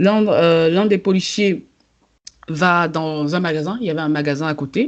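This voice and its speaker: Using a plain, everyday voice, a woman speaks at a fairly slow pace and fairly low pitch with ordinary pitch variation. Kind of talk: casual podcast conversation.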